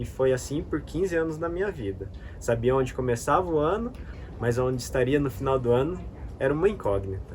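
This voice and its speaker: This man has a plain, everyday voice at a medium pitch. He talks at a fairly quick pace with lively intonation. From Brazil, interior of São Paulo (Bauru). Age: 30s. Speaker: travel vlogger. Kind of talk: scripted narration.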